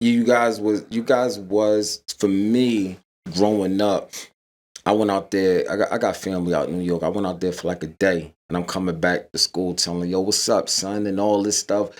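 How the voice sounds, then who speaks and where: A man with a Philadelphia accent, fairly low in pitch, at a moderate pace with fairly even intonation, in a very clean recording with a silent background. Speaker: podcast interviewer. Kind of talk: interview chat.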